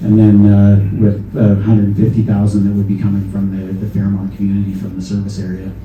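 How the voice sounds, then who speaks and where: A man's monotone, flat delivery at a fairly quick pace, with noticeable background noise and audible room echo. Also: fairly low pitch for a man, hardly any pauses. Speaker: local government staff presenting project finances. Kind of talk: public information meeting presentation. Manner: halting, many fillers. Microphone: handheld mic, may be too quiet.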